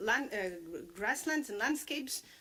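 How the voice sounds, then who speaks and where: At a moderate pace, a woman talks at a high pitch with lively intonation. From Portugal. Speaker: livestock sector expert presenter. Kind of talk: conference presentation. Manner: hesitant, many fillers.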